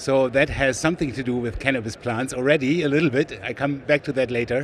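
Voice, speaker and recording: In a German accent, a man talks at a moderate pace, his medium pitch held to fairly even intonation. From Germany, West Berlin. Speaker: sales executive, biochemist. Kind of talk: trade show interview. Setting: trade show floor.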